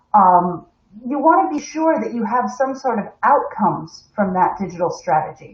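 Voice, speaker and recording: A woman's somewhat breathy voice with an American accent, fairly slow, with very wide pitch swings. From United States. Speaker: corporate webinar host. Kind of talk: live stream presentation. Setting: live stream from home.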